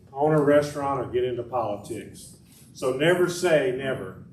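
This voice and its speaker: At a fairly quick pace, a man speaks with a fairly high pitch and ordinary pitch variation. Audible room echo is present. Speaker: political candidate. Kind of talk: campaign speech.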